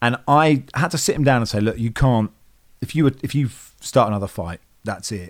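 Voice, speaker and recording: A man of medium pitch with a British accent, at a fairly quick pace with lively intonation. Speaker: football podcast guest. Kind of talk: casual banter.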